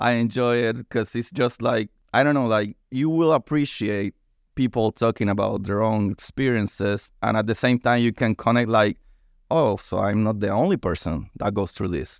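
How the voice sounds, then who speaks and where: A man with a Spanish accent and ordinary pitch variation, in a dry, close sound with no echo and a quiet background. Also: medium pitch for a man, moderate pace. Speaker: science podcast host. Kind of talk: casual chat. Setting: studio. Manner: animated.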